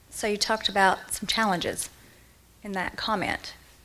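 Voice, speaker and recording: In a Kentucky accent, a woman speaks at a fairly quick pace with a fairly high pitch, a bright, sharp tone and monotone, flat intonation. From eastern Kentucky. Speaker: moderator. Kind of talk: panel interview on stage.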